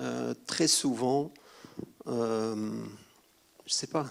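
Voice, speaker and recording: A man speaks at a very slow pace. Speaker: cinematographer, award winner. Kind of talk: acceptance speech. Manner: halting, searching for words.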